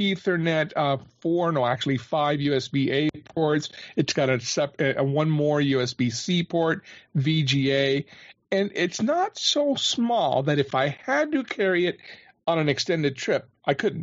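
A normal speaking voice from a man, fairly high in pitch with ordinary pitch variation, at a moderate pace and very even loudness. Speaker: podcast panelist. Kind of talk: casual panel discussion.

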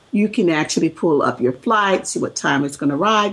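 Speaking in an American accent, a woman uses a medium pitch with lively intonation and vocal fry. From US South. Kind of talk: casual chat.

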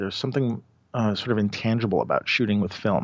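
A man speaks in a New York accent, the sound dry and close with no echo. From New York City. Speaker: street photographer and podcaster. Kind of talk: casual interview chat.

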